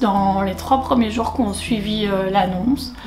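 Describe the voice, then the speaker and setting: The pitch varies in an ordinary way, with noticeable background noise behind the voice. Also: woman. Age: 30s. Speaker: satisfied client giving a testimonial. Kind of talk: testimony. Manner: hesitant, many fillers.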